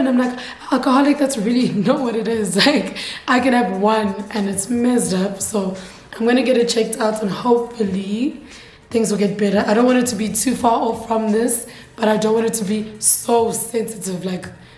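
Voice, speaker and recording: Both noticeable background noise and audible room echo surround a woman's fairly high-pitched voice. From Eswatini (Swaziland). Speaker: YouTuber. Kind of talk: casual chat. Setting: sit-down video to camera.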